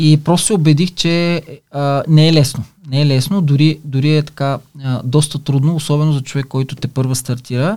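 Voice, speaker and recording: A man's fairly high voice with a dark, mellow tone, fairly even intonation, and a moderate pace, on a very clean recording with a silent background. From Bulgaria, Silistra. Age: 50s. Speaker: online business entrepreneur. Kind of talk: casual interview. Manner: halting, frequent fillers.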